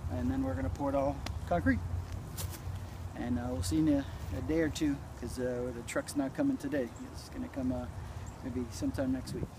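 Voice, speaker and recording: A man talks at a fairly quick pace. The sound is dry with no echo, and background noise is noticeable. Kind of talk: tutorial. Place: garden. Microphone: phone near.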